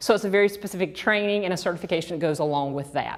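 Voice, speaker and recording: This is a woman speaking. She has a Georgia accent. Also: very clean recording, silent background. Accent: Georgia (US South). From US South, Georgia. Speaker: sex therapist and trainer. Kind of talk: lecture.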